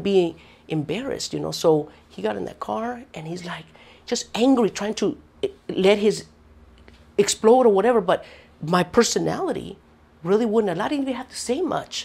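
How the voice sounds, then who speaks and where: A woman talks at a fairly quick pace in a medium-pitched voice. Vocal fry runs through her speech. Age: 50s. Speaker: mother of the interviewee. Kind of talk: interview testimony.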